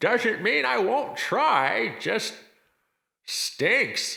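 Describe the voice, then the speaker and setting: A man puts on a character voice at high pitch. His pitch swings very widely. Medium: audio drama. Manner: dry, sardonic.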